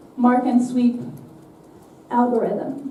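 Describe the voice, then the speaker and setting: Speaking fairly slowly, a woman is heard with noticeable background noise and audible room echo. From Netherlands. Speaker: software developer, conference speaker. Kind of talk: conference talk. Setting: stage with audience.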